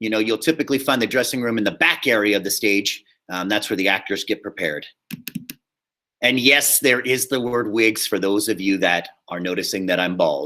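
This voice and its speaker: Loud and fairly quick, a man with a fairly low pitch and a bright, sharp tone speaks with ordinary pitch variation. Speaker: high school theater teacher. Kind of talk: lecture. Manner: casual.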